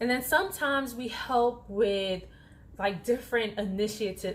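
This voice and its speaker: Animated in tone, a woman speaks at a fairly high pitch with lively intonation. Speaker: flight attendant vlogger. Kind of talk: casual vlog talk. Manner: soft-spoken when others near.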